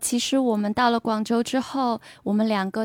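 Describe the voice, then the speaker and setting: In an unremarkable speaking voice, a woman speaks at a moderate pace with a fairly high pitch and fairly even intonation, in a dry, close sound with no echo on a very clean recording with a silent background. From Beijing. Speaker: art institution worker. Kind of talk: casual interview chat.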